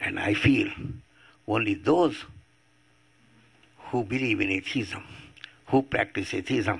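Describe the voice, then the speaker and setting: A man talks at a fairly slow pace with long, frequent pauses. His medium-pitched voice is somewhat breathy, with lively intonation. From India. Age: 80s+. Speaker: atheist activist. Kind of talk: public talk.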